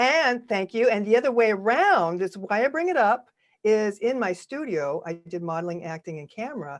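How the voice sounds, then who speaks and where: A woman talks at a moderate pace. Her pitch swings very widely and her loudness in big swings. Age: 60s. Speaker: actress and on-camera coach. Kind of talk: podcast interview. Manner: animated.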